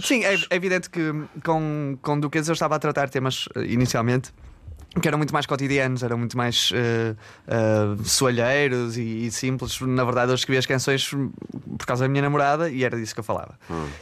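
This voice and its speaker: A man's unremarkable speaking voice, medium in pitch, with ordinary pitch variation and a fairly quick pace. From northern Portugal, Barcelos. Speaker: musician. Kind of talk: casual chat. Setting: studio, remote link.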